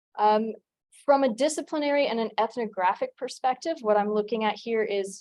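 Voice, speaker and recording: With an American accent, a woman has an ordinary speaking voice, a fairly high pitch, ordinary pitch variation, and a moderate pace. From United States. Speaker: doctoral candidate, anthropologist. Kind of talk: dissertation defense presentation. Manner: formal.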